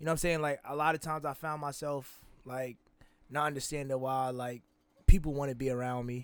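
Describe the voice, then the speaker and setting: A man talks at a fairly high pitch with monotone, flat intonation. The recording is very clean, and the background is silent. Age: 20s. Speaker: podcast co-host. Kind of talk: casual chat.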